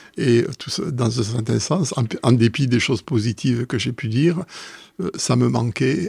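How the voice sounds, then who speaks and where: Breathing somewhat breathily, a man with a southwestern French accent speaks at a medium pitch and a fairly slow pace with ordinary pitch variation, on a very clean recording with a silent background. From southwestern France. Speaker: mathematician, professor. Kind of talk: casual interview. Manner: hesitant, many fillers.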